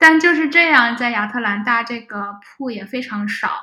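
Audible room echo follows a woman whose voice sits fairly high. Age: 20s. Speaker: data scientist. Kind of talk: casual interview chat.

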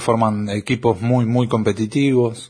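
A man's medium-pitched, fairly slow delivery in a normal speaking voice. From Argentina. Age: 40s. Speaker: football fan. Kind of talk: recorded testimony.

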